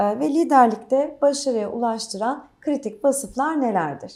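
Here a woman has a high pitch with a dark, mellow tone. She talks at a fairly slow pace with lively intonation. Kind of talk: formal interview. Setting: on-site interview with crew.

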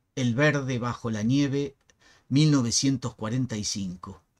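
The man has a medium pitch, a dramatic tone and fairly even intonation. The background is quiet. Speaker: poetry reader and channel host. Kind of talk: poem reading, slow and expressive, after a spoken biographical introduction. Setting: home recording, screen-recorded video. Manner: measured, slow, dramatic and intimate delivery; reflective, with pauses and some hesitations. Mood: expressive, declamatory. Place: home room. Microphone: webcam.

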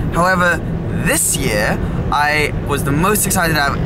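Loud background noise behind a man's moderately paced voice, dry and echo-free. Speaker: car vlogger. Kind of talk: casual vlog chat. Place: car. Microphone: phone near.

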